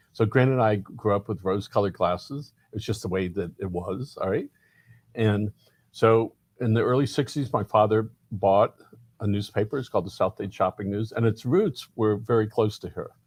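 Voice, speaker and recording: Somewhat breathy and fairly low-pitched, a man with an American accent speaks at a moderate pace with ordinary pitch variation, in a very clean recording with a silent background and a dry, close sound with no echo. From Miami, Florida. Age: 50s. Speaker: community newspaper publisher. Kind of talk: interview.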